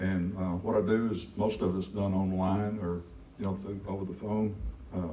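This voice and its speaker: A man speaks at a fairly low pitch. Audible room echo can be heard. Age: 60s. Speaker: insurance agent. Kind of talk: short networking speech. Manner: halting.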